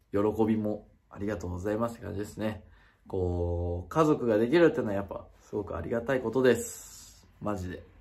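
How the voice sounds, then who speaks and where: At a fairly quick pace, a man speaks in a fairly low voice with ordinary pitch variation and big swings in loudness. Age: 20s. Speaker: YouTuber. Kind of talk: casual vlog announcement. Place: home room. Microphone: phone near.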